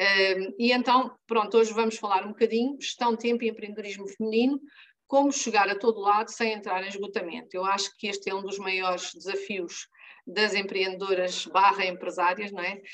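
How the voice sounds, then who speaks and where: Medium pitch marks this woman's voice. She talks at a moderate pace with fairly even intonation. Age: 60s. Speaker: life and business coach. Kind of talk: training talk to women entrepreneurs.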